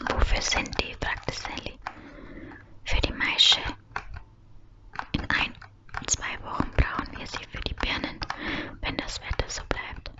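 Soft-spoken and whispering, the voice moves at a very slow pace with long, frequent pauses. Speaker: reader. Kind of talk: soft audiobook-style reading of German fiction. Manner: soft close whisper, reading dialogue. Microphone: studio mic.

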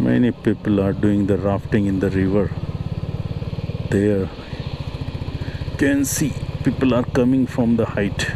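Someone speaks at a fairly slow pace with long, frequent pauses, against noticeable background noise. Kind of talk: casual travel commentary. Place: motorbike.

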